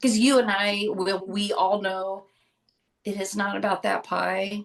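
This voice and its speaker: Here is a plain, everyday voice from a woman at a medium pitch. She talks at a fairly slow pace with fairly even intonation. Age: 50s. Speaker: podcast co-host on addiction recovery. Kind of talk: casual podcast conversation.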